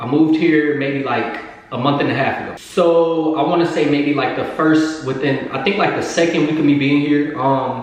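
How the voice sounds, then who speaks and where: There is noticeable background noise and audible room echo. A man talks at a moderate pace with fairly even intonation and hardly any pauses. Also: fairly high pitch for a man. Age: 20s. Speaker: YouTuber. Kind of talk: storytime vlog. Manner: loud.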